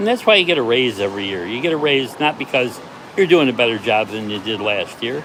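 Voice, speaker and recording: Over noticeable background noise, a man with a medium-pitched voice speaks with an American accent. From United States. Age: 70s. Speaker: part-time delivery driver. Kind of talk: casual livestream talk to camera.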